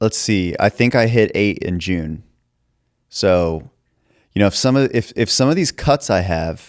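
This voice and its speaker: With lively intonation, a man speaks in a fairly low pitch, the sound dry and close with no echo. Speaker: podcast host. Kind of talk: casual chat.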